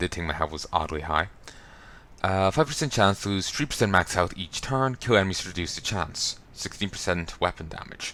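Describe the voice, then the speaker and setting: Talking at a fairly quick pace, a man with an American accent uses a very deep, low pitch and lively intonation. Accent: Irish, mistaken by some for American. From Ireland. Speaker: video game let's player. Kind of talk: gameplay commentary. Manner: casual, chatty.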